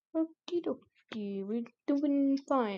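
A woman puts on a character voice at a high pitch. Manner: playful, cartoonish.

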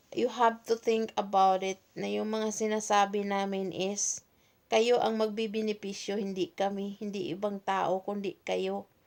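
In a very clean recording with a silent background, a woman speaks at a fairly slow pace in a medium pitch with monotone, flat intonation. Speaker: OFW advocate vlogger. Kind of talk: solo livestream talk.

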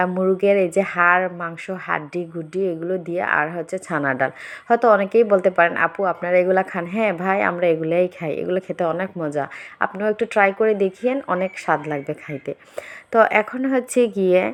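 A woman's plain, everyday voice, medium in pitch, with ordinary pitch variation. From Bangladesh. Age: 30s. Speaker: vlogger. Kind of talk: casual vlog monologue.

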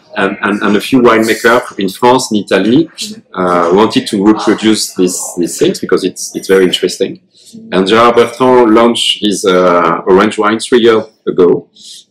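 Light background noise sits behind a man's voice. His pitch shows ordinary variation. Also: moderate pace. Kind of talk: explanation at a tasting. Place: bar. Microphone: camera far.

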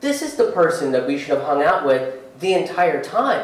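With strong room echo, a man speaks at a moderate pace and fairly high pitch, making big pitch swings.

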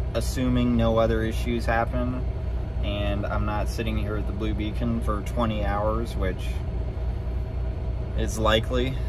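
A man at a fairly slow pace with long, frequent pauses, dry sound with no echo, and music in the background. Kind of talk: casual vlog chat. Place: car. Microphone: phone near.

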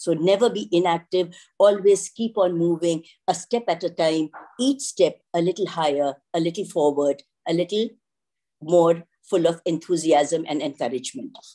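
Against a quiet background, a woman with an Indian accent speaks at a fairly low pitch in a dark, mellow tone. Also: ordinary pitch variation, moderate pace. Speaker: school director. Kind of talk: ceremonial address; ceremonial speech. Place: home room. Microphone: video call.

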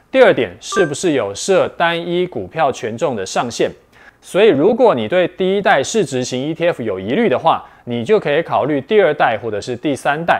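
A man's voice with vocal fry and very wide pitch swings. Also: fairly high pitch for a man, moderate pace. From Taiwan. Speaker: investment video host. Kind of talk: scripted explainer. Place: studio. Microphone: lapel.

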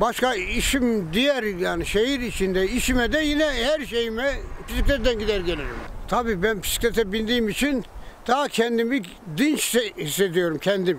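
Recorded dry with no echo and light background noise, a man speaks at a moderate pace in an extremely high voice, his loudness very even throughout. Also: lively intonation. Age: 80s+. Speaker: retired cyclist who cleans streets and feeds strays. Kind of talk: news interview answer. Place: street.

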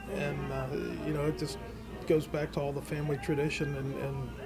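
Clear music sounds behind the speaker. A man talks at a fairly quick pace. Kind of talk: interview answer. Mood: proud, relaxed. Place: cafe.

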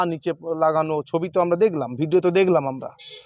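With a normal speaking voice, a man talks at a fairly high pitch and with fairly even intonation, the sound dry and close with no echo. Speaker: politician. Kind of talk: press statement.

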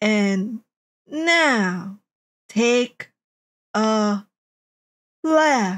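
A female-sounding voice does a put-on, robotic character. The pitch sits fairly high. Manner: very slow, halting, robotic.

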